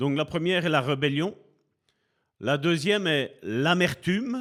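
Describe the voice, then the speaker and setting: In a very clean recording with a silent background, a man with a fairly high pitch speaks at a fairly slow pace with lively intonation. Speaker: preacher. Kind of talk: sermon. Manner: slow, deliberate pace.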